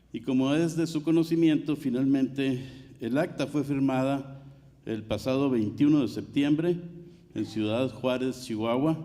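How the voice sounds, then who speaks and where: Amid noticeable background noise and audible room echo, a man with a fairly high pitch talks at a moderate pace with fairly even intonation. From Mexico. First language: Spanish. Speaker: water commissioner. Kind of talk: conference speech. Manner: formal.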